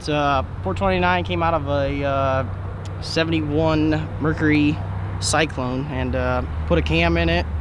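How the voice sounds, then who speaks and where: A man speaks at a very deep, low pitch. The sound is dry with no echo, with noticeable background noise. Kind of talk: interview answer. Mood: proud, relaxed. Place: street.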